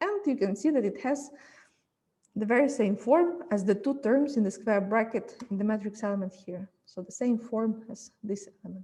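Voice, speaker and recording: In an unremarkable speaking voice, a woman talks at a fairly high pitch and moderate pace, with ordinary pitch variation and big swings in loudness. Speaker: physics lecturer. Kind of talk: lecture.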